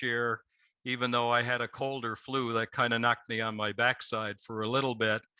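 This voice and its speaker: In a very clean recording with a silent background, a man of medium pitch speaks at a moderate pace with a bright, sharp tone and monotone, flat intonation. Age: 60s. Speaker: CEO of a CBD company. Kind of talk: podcast interview.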